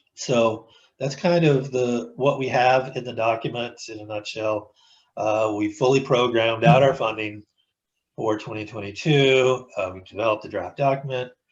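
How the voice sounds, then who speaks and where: A somewhat breathy male voice at medium pitch, moderately paced, with fairly even intonation and big swings in loudness. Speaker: transportation planning staff presenter. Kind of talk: public meeting presentation. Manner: halting, many fillers and repetitions.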